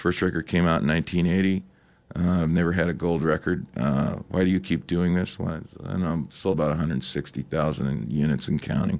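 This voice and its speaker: A man speaks at a very deep, low pitch with vocal fry and ordinary pitch variation. His pace is fairly slow on a very clean recording with a silent background. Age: 60s. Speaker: rock musician. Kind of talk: interview. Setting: studio.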